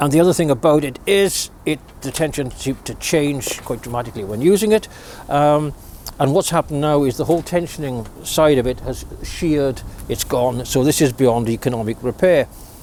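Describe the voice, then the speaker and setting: Noticeable background noise is audible throughout. A man talks fairly quickly, his pitch varying in an ordinary way. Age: 60s. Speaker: DIY video maker. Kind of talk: product review. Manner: hesitant, repeats words.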